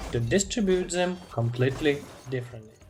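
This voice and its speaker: Over noticeable background noise, a speaker with a non-native accent talks at a fairly slow pace. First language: not English. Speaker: video game guide narrator. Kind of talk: scripted narration.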